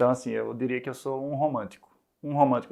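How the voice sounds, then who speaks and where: A man's medium-pitched voice in a monotone with flat intonation, over a quiet background. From Brazil, Recife (Northeast). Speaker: startup founder and CEO, musician. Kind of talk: interview. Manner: hesitant, many fillers and repetitions.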